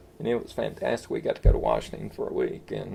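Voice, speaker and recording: A man speaks with an Appalachian accent. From East Tennessee. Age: 60s. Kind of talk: interview answer.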